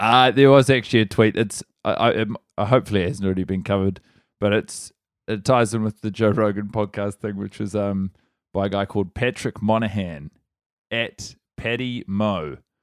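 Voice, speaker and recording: In a very clean recording with a silent background and a dry, close sound with no echo, a man talks at a fairly quick pace and a fairly low pitch with ordinary pitch variation. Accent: New Zealand. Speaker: comedian. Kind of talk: casual chat.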